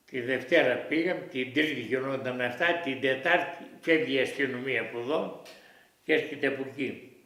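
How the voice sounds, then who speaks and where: In a room with audible echo, a man with a fairly high voice speaks at a fairly slow pace with ordinary pitch variation. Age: 90s. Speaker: war witness. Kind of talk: oral history interview. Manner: halting.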